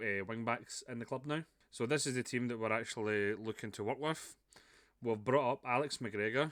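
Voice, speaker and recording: A man with a Scottish accent, medium pitch, fairly even intonation and a moderate pace, in a very clean recording with a silent background. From Scotland. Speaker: video game streamer. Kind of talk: gameplay commentary. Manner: casual, chatty with fillers.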